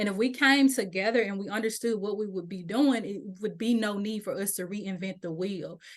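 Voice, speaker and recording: With a Mississippi accent, a woman at a medium pitch talks with ordinary pitch variation and hardly any pauses. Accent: Mississippi twang. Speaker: doula program leader and birth worker advocate. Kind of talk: webinar presentation. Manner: fast.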